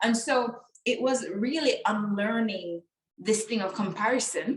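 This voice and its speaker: A woman speaks with a fairly high pitch and ordinary pitch variation. Her tone is animated and somewhat breathy. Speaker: business coach. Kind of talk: podcast interview. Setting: online call.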